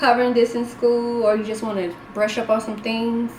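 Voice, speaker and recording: A woman with a fairly high voice talks at a moderate pace amid noticeable background noise and audible room echo. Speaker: homeschool mom and tutor vlogger. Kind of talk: casual tutorial video.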